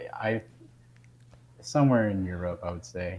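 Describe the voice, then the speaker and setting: The speaker is a man with an American accent. Pitch variation is ordinary. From Texas, Houston. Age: 20s. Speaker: navy sailor. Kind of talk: casual interview chat. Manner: halting, many fillers.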